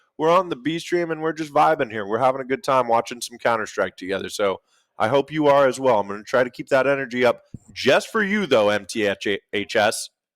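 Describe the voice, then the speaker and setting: Fairly quick and animated, a man at medium pitch speaks with lively intonation in a dry, close sound with no echo on a very clean recording with a silent background. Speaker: esports commentator. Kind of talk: live commentary. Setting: livestream.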